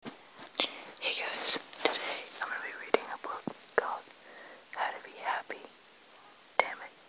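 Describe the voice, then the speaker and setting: Someone whispers at a fairly slow pace, with long, frequent pauses. Noticeable background noise runs underneath. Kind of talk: ASMR book reading. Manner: whispered.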